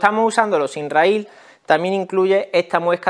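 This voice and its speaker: A man with a Spanish accent talks at a fairly quick pace against a quiet background. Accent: Peninsular Spanish. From Spain. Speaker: tool review YouTuber. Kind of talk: product review tutorial. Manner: casual, explanatory. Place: workshop.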